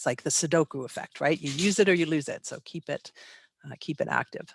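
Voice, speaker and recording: A woman talks at a fairly quick pace in a very deep, low pitch, with ordinary pitch variation, big swings in loudness and a dry, close sound with no echo. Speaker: animal behavior expert. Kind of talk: webinar lecture. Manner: fast.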